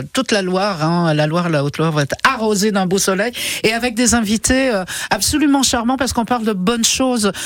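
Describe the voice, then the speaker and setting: Amid noticeable background noise, a woman with a fairly high pitch speaks in an animated tone, with lively intonation and very even loudness. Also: fairly quick pace. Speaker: radio host. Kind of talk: casual chat.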